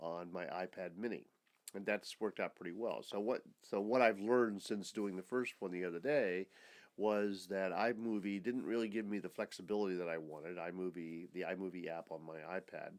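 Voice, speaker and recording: A man speaks in a very deep, low voice. His pitch moves in an ordinary way, and his pace is fairly quick. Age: 70s. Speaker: retired educator and hobby video blogger. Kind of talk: casual video journal monologue. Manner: halting, many fillers and restarts.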